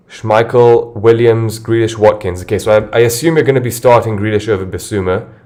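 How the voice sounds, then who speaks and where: At a fairly quick pace, a man talks in a medium pitch with fairly even intonation. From London. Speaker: fantasy football streamer. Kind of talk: casual livestream chat.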